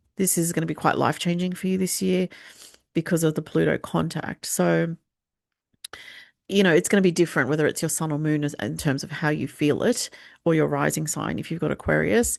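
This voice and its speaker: A woman with an Australian accent, very deep and low in pitch, with vocal fry, ordinary pitch variation and a fairly quick pace, against a quiet background. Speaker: astrologer. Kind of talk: forecast talk with slides. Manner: hesitant, many fillers.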